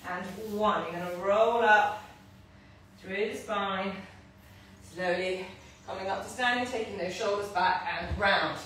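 Strong room echo and light background noise surround a woman talking at a moderate pace. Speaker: fitness instructor. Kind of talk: live workout instruction. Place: gym. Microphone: camera far.

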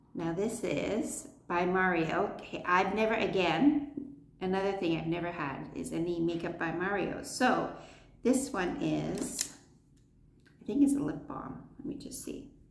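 A woman talks at a fairly slow pace, her pitch swinging very widely and her loudness shifting a lot. Audible room echo and light background noise surround her. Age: 60s. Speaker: beauty vlogger. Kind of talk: product review. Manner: animated. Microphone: phone near.

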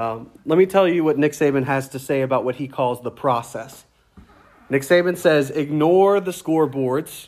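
Speaking with a Louisiana accent, a man uses a fairly high pitch and ordinary pitch variation. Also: moderate pace. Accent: Southern US (Louisiana). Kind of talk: sermon. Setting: church.

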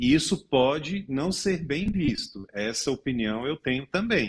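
The speaker talks with a Brazilian accent and very wide pitch swings. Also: man. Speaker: lawyer. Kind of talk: news panel commentary.

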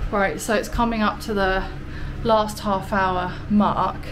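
Flat, monotone intonation amid noticeable background noise. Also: woman. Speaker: vlogger. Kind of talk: casual vlog chat. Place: shop. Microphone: phone near.

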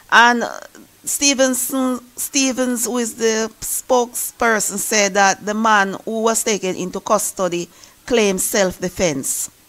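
Over noticeable background noise, a woman with a fairly high pitch talks at a fairly slow pace. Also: ordinary pitch variation. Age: 40s. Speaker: YouTuber. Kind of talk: news commentary.

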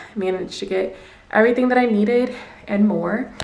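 With fairly even intonation, a woman talks at a fairly brisk pace. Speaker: vlogger. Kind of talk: casual vlog chat. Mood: mildly exasperated, chatty. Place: home room. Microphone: phone near.

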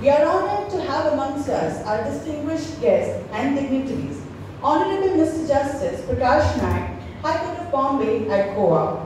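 Strong room echo and light background noise surround a woman's voice. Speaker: law professor. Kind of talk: formal welcome address. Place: hall. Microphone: handheld.

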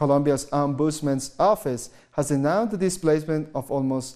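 A man's fairly high voice with a dark, mellow tone, ordinary pitch variation and a moderate pace. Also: quiet background. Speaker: news anchor. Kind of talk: news reading. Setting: studio. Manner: formal. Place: studio. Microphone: lapel.

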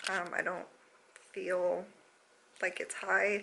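There is light background noise. A soft-spoken woman talks. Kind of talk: casual vlog chat. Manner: soft, sleepy, low-energy early morning voice. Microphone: phone near.

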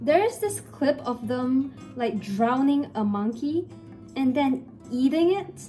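Faint music plays behind a woman whose high-pitched voice makes very wide pitch swings. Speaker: craft vlogger; crafting vlogger. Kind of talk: casual vlog commentary. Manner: mumbling at times. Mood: playful, jokey storytelling. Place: home room. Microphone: phone near.

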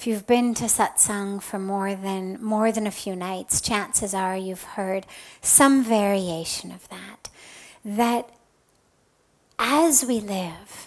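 Very slow speech with ordinary pitch variation and big swings in loudness, over a quiet background. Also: woman. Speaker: spiritual teacher. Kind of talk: spiritual talk answering a question. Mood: calm, gentle. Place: home room. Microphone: headset.

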